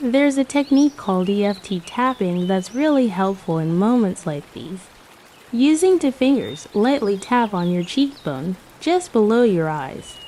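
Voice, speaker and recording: Her soothing voice at a fairly high pitch swings very widely, as the woman speaks at a moderate pace over noticeable background noise. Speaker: meditation guide. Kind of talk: guided meditation. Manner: calm.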